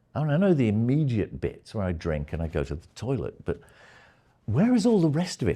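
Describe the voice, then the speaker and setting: A man's somewhat breathy voice with a dark, mellow tone sits on a very clean recording with a silent background. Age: 70s. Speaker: retired media scholar. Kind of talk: lecture. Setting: seminar room with live audience. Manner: hesitant, with many fillers.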